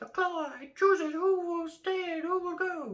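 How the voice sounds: In a put-on character voice with an extremely high pitch, the speaker goes at a moderate pace.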